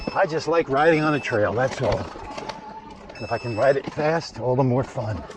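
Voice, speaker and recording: Moderate pacing from a man at medium pitch, with long, frequent pauses and noticeable background noise. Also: ordinary pitch variation. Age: 60s. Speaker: vlogger, e-bike rider. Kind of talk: casual vlog commentary while riding. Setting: outdoors on a bike trail. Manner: casual, halting with fillers.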